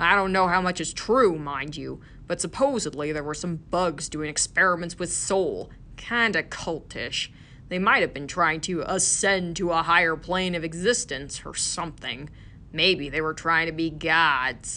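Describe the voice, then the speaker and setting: A gruff, put-on character voice at middle pitch moves at a moderate pace over clear background noise. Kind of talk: audiobook character voice. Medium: read story. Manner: gruff, dry, deadpan.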